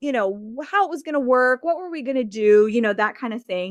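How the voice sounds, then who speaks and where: A loud, high-pitched woman at a fairly quick pace with very wide pitch swings, in a dry, close sound with no echo on a very clean recording with a silent background. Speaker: founder of a clothing swap business. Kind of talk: interview. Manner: conversational, with many fillers.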